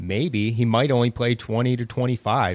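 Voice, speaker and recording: The recording is very clean, with a silent background. A man with a plain, everyday voice speaks at a medium pitch and a moderate pace. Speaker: fantasy basketball analyst. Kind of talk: casual sports talk.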